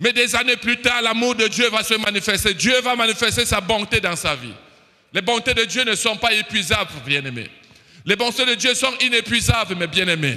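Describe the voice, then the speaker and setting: A man with a high pitch speaks in a raised, projected voice at a moderate pace, with ordinary pitch variation. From Cameroon. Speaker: preacher. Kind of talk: sermon. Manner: animated.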